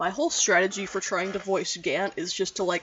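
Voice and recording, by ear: With lively intonation, a person reads aloud in a natural voice.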